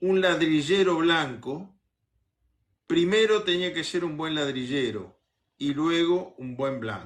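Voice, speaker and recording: A man's fairly high voice at a very slow pace. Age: 70s. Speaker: politician. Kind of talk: interview.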